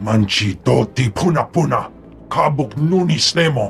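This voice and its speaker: A man's growling, put-on character voice at a fairly high pitch and moderate pace, with clear music in the background. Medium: machinima.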